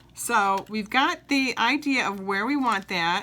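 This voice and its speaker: Noticeable background noise accompanies a woman speaking at a fairly high pitch with ordinary pitch variation. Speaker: papercraft demonstrator. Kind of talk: craft tutorial. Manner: animated, enthusiastic.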